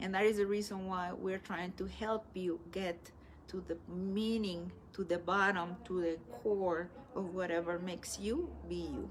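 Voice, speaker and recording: With a medium pitch, a woman talks at a fairly slow pace. Her intonation stays fairly even. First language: Spanish. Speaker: spiritual teacher. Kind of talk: live stream talk. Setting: live stream. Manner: halting.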